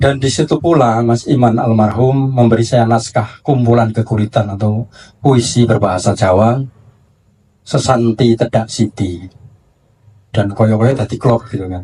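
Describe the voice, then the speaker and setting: In a very clean recording with a silent background, a man speaks at a moderate pace in a somewhat breathy, dark, mellow, medium-pitched voice. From Java, Indonesia. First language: Javanese (speaking Indonesian). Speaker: book publisher. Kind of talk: panel discussion. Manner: halting.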